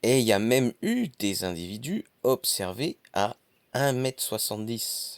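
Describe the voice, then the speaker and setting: Medium-pitched male speech at a very slow pace with lively intonation, a dry, close sound with no echo, and a very clean recording with a silent background. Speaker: nature YouTuber. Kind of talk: nature documentary narration. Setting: outdoors. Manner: soft-spoken.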